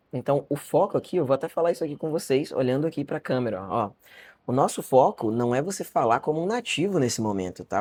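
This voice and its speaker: A fairly high-pitched man with a Brazilian accent at a very fast pace, his pitch swinging very widely. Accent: Brazilian accent in some English words. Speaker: English teacher. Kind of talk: online lesson.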